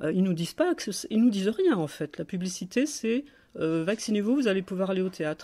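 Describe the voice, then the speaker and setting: Her voice has a dark, mellow tone at a medium pitch. The woman talks at a very fast pace. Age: 60s. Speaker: political activist and blogger. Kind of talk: phone call with a government hotline. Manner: halting, many hesitations and repetitions.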